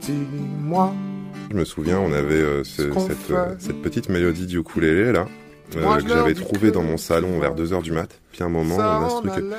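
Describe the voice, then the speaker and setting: Music plays in the background as a man speaks at a moderate pace. His pitch is very deep and low, with ordinary pitch variation. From Egypt (Cairo). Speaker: singer. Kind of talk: interview answer.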